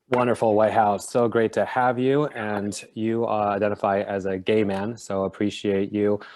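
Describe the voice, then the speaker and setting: Against a quiet background, a man with an American accent and an unremarkable speaking voice talks at a fairly slow pace, with a fairly low pitch and fairly even intonation. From US. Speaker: event host. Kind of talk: moderating a panel. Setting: video call.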